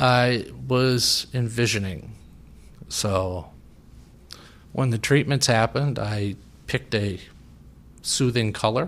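A man with a medium pitch speaks at a very slow pace. Long, frequent pauses break up his speech, which has ordinary pitch variation. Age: 50s. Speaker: cancer patient. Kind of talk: personal testimony in interview.

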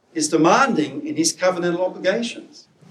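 Audible room echo surrounds a man's voice. He speaks at a high pitch with very wide pitch swings. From Scotland. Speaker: preacher and academic. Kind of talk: sermon.

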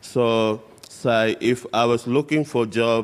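A man talks at a medium pitch. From West Papua highlands. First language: West Papuan local language. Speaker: aerospace engineer, former refugee. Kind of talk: church interview testimony. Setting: church stage with congregation.

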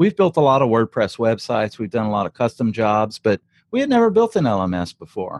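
A man with an American accent talks very fast at a medium pitch, his intonation lively, the sound dry and close with no echo against a quiet background. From South Louisiana. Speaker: digital product entrepreneur and course creator. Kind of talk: casual interview.

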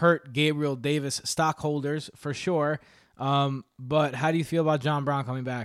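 A moderate speaking speed, captured very cleanly against a silent background. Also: man. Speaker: fantasy football podcast host. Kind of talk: casual chat. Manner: animated.

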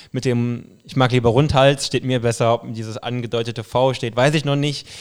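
A man with a Saarland accent speaks at a moderate pace and medium pitch. His intonation is monotone and flat on a very clean recording with a silent background. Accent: speaks some Saarland dialect. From western Ruhr area, Germany (Duisburg suburb). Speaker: football fan. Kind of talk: casual chat.

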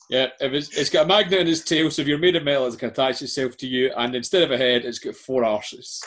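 A man with a Scottish accent talks very fast at a fairly high pitch, with ordinary pitch variation and hardly any pauses. Noticeable background noise sits under his voice. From Scotland. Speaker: quiz host. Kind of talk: quiz hosting.

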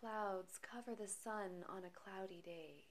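A woman talks very slowly in a soothing, calm tone with ordinary pitch variation, over noticeable background noise. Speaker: meditation guide. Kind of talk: guided meditation. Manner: slow, soothing, calm and gentle; measured, hushed, with long pauses between phrases.

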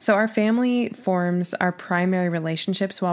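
A woman with an American accent and an unremarkable speaking voice talks at a fairly quick pace, medium in pitch with fairly even intonation, in a very clean recording with a silent background. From Oklahoma. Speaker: podcast co-host. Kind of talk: casual chat.

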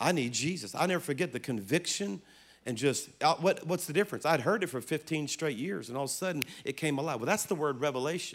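Talking at a fairly quick pace, a man with a fairly high pitch uses lively intonation, recorded very cleanly against a silent background. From South Louisiana. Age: 50s. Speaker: pastor. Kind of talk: sermon. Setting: church stage with audience. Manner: animated.

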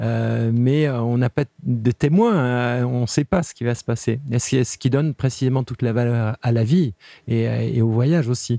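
A dark, mellow tone at a fairly slow pace, with fairly even intonation and a dry, close sound with no echo. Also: man, medium pitch for a man. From Switzerland, Geneva. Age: 50s. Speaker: cycle traveller and author. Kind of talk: interview. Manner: halting.

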